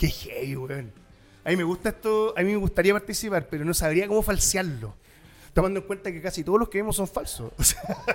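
A man with a Chilean accent talks in a high pitch with ordinary pitch variation. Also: fairly quick pace. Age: 40s. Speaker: podcast host. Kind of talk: casual chat.

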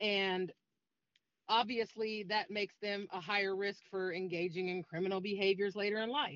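A woman speaks in a plain, everyday voice. Her pitch is medium and her pace is moderate. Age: 40s. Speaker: domestic violence advocate. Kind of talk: interview.

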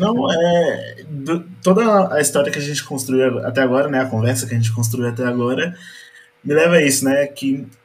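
An unremarkable speaking voice, this man's fairly high pitch shows ordinary variation at a moderate pace. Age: 20s. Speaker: tax inspector, church photographer. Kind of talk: casual chat.

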